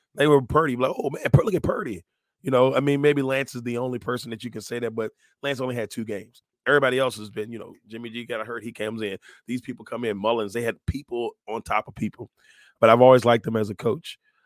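A man talks at a very fast pace in a medium pitch, his tone animated and enthusiastic, with big swings in loudness, captured in a very clean, silent recording with a dry, close sound and no echo. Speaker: podcast host. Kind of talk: casual sports talk. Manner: animated, enthusiastic.

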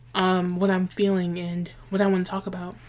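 Monotone, flat intonation with an American accent. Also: woman. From New York City. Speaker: podcast host. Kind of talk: personal monologue. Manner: casual.

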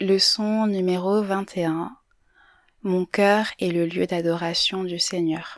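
On a very clean recording with a silent background, a woman speaks very slowly in a flat monotone. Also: medium pitch for a woman. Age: 20s. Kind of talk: personal reflection monologue. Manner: hesitant, many fillers.

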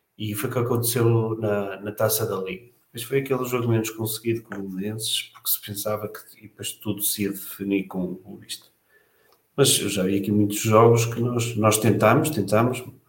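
Somewhat breathy and fairly low-pitched, a man speaks at a moderate pace with fairly even intonation and big swings in loudness. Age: 40s. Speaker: football fan panelist. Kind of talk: casual panel discussion.

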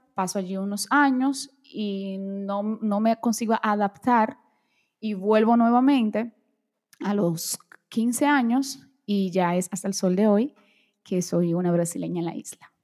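A woman with a Portuguese accent at a very slow pace, with ordinary pitch variation. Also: medium pitch for a woman. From Brazil, moved to Dominican Republic as child, back at 15. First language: Portuguese (speaking Spanish). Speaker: beauty and fashion content creator. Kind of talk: interview conversation.

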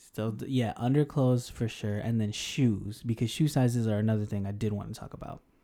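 An American accent marks this man's speech, delivered at a fairly quick pace with hardly any pauses. He has a plain, everyday voice at a medium pitch with fairly even intonation. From Denver, Colorado. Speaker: podcast co-host, English teacher. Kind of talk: casual chat.

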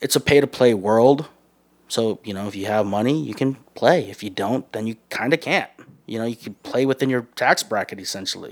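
Fairly quick and medium-pitched, this man has an unremarkable speaking voice. His pitch varies normally while his loudness swings a lot. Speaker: bakery manager. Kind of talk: casual interview chat. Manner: casual, slangy, candid.

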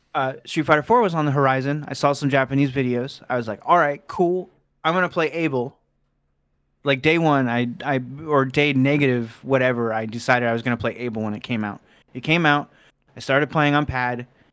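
This man has a normal speaking voice at a medium pitch. He talks at a fairly quick pace with ordinary pitch variation, in a very clean recording with a silent background. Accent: American. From US Midwest, Cincinnati, Ohio. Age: 30s. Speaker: fighting game player and tournament organizer. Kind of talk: casual chat.

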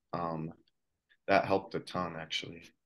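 This man speaks with an American accent at a moderate pace. His intonation is monotone and flat. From Colorado, US. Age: 20s. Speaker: professional cyclist. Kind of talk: interview. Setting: video call.

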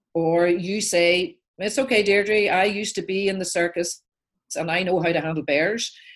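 A woman with an Irish accent and ordinary pitch variation against a quiet background. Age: 60s. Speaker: life coach and author. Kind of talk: interview storytelling. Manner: animated.

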